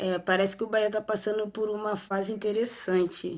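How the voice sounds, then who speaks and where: A woman talks at a moderate pace in a Rio de Janeiro accent. The background is quiet. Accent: carioca. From Rio de Janeiro, Brazil. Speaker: women's football player. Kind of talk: interview. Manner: halting.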